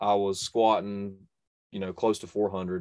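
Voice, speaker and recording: A man with a North Carolina accent and a fairly low pitch, over a quiet background. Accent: Southern US (North Carolina). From North Carolina, US. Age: 20s. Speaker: bowhunter and YouTube bow reviewer. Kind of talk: casual interview chat.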